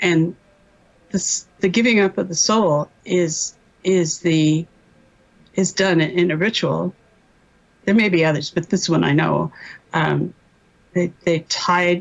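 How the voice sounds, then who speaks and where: A woman speaks fairly slowly with vocal fry, a fairly low pitch and fairly even intonation. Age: 70s. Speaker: MKUltra survivor, doctor. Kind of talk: testimony. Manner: halting.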